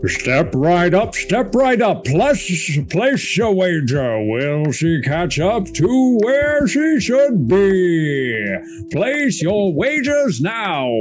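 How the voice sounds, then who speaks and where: A man uses a put-on character voice pitched high, speaking very slowly at very even loudness. Music plays clearly in the background. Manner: showy, carnival barker.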